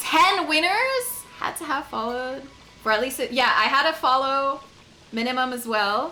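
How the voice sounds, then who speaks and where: Over noticeable background noise and audible room echo, a woman with a Quebec accent uses a raised, projected voice at a high pitch, her tone animated, her pace moderate and her pitch variation ordinary. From Quebec, Canada. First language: French. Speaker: video game streamer. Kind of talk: casual chat.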